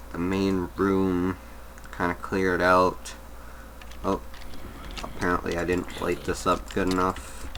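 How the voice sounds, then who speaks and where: The speaker mumbles at a fairly slow pace, with long, frequent pauses. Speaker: gaming video creator. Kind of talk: gameplay commentary. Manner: mumbling; halting.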